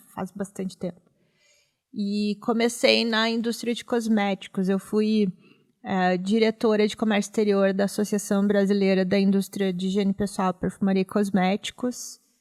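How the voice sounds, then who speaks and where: A monotone, flat delivery is heard on a very clean recording with a silent background. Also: woman, medium pitch for a woman, moderate pace, dry, close sound with no echo. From Rio Grande do Sul, Brazil (Vale dos Sinos). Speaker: professor and foreign trade consultant. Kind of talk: interview.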